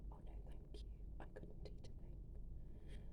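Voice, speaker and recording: A woman is whispering. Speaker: ASMR storyteller. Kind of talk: soft bedtime story reading from a children's picture book. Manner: soft-spoken, whispering.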